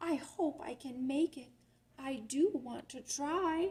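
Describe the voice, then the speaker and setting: A woman puts on a high-pitched character voice and speaks at a fairly slow pace. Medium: read story.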